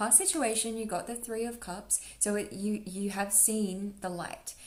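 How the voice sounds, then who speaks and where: This woman talks at a medium pitch, with ordinary pitch variation, as noticeable background noise carries on. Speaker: tarot reader. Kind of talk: tarot reading. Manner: fast; animated.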